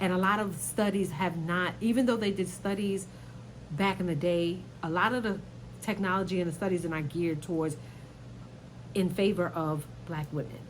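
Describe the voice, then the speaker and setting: Amid audible room echo, a woman with a fairly low pitch, vocal fry and an animated tone speaks at a moderate pace with ordinary pitch variation and long, frequent pauses. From New York, Brooklyn. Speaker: YouTuber commentator. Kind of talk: casual commentary vlog.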